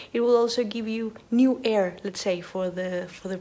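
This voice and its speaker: A woman's fairly high voice at a moderate pace amid noticeable background noise. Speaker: university lecturer. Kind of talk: video message. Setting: home office. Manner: quiet.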